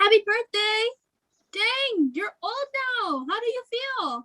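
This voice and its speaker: Putting on a squeaky character voice, a woman speaks in an upbeat tone at an extremely high pitch and a fairly slow pace. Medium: stage play. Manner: giggly, upbeat.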